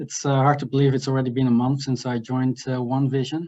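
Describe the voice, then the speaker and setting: A man talks in a slight Dutch accent at a medium pitch. His intonation is monotone and flat, with a dark, mellow tone. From Netherlands. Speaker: finance executive. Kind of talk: business introduction.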